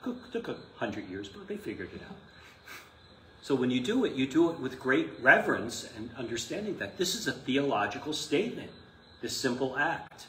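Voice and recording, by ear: With audible room echo, a man speaks at a moderate pace and medium pitch, making big pitch swings in a fairly bright tone.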